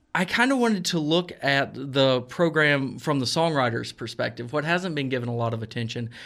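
On a very clean recording with a silent background, a man with a plain, everyday voice speaks at a fairly high pitch and a moderate pace, with ordinary pitch variation. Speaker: music journalist. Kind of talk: radio interview. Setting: studio.

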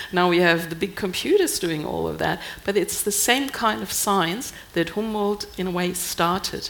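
A woman speaks with a German accent and vocal fry. Her pace is moderate, with hardly any pauses. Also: medium pitch for a woman, ordinary pitch variation. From Germany. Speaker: scientist, embassy science officer. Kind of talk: panel discussion.

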